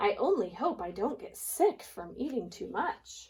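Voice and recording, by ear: Big pitch swings mark this put-on character voice, which has a slightly mellow tone, a husky, rough edge and a fairly slow pace. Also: woman, medium pitch for a woman.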